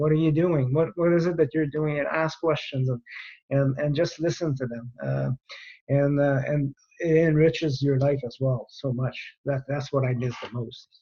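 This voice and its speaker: A man with a strong Quebec accent, fairly high-pitched and somewhat breathy, at a moderate pace with fairly even intonation. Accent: thick French Canadian. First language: French. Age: 50s. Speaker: retired air force general. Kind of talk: podcast interview. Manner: halting, many fillers.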